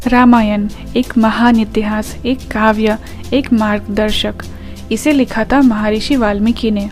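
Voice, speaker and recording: A woman's fairly high, monotone voice with flat intonation, music in the background. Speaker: storyteller. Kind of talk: mythology storytelling podcast. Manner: reverent.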